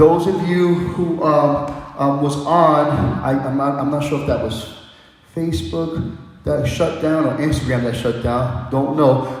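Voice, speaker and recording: A man talks at a fairly slow pace with a fairly high pitch and fairly even intonation. The recording has audible room echo and noticeable background noise. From New York. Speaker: dance instructor. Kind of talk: casual sign-off to viewers. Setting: live-streamed online class.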